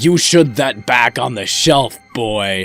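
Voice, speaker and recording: A man puts on a raspy character voice at a medium pitch, speaking at a very slow pace with faint music in the background. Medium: read story. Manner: fearful, shouting.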